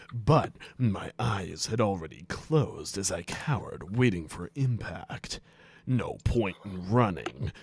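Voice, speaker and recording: A man puts on a character voice, pitched fairly low and delivered at a fairly slow pace. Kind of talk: comic impression of a stoic soldier. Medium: game stream. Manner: deadpan, heavy sighing between lines.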